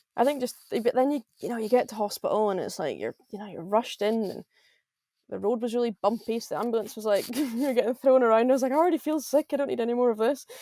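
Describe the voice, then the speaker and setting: In a Scottish Highland accent, a woman with a fairly high pitch and a dark, mellow tone talks very fast with big swings in loudness, in a dry, close sound with no echo. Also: ordinary pitch variation. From Scotland, Highlands. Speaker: professional golfer. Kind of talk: podcast interview.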